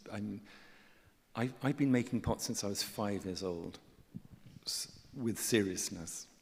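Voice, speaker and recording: A man is speaking here. He has a southern British accent. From England. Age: 60s. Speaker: artist and writer. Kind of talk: on-stage conversation. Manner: halting, many repetitions and fillers.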